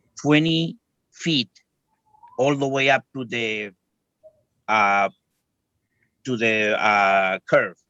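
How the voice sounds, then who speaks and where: A man with a non-native accent and a medium pitch speaks at a very slow pace with ordinary pitch variation, the sound dry and close with no echo. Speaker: homeowner applicant at zoning board. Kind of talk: testimony at public hearing. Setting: video call from work. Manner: halting, hesitant.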